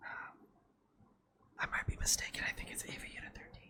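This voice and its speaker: Whispering at a fairly quick pace, the voice comes through noticeable background noise. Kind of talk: asmr whispered rambling. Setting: home recording with air conditioner hum. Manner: whispered.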